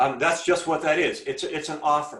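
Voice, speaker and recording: At a moderate pace, the speech carries audible room echo. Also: man. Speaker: school teacher giving talk to seniors. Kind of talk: presentation to students. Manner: halting, many repetitions.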